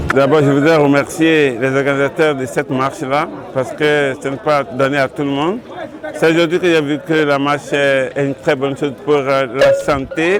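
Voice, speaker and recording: There is noticeable background noise as a man speaks in a fairly high pitch, with fairly even intonation and a moderate pace. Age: 70s. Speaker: walk participant, local supporter. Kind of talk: interview remarks.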